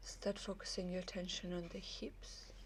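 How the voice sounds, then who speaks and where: A woman with a non-native accent speaks at a fairly slow pace. Her tone is calm. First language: not English. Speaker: yoga teacher. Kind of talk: yoga class instruction. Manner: calm, guiding.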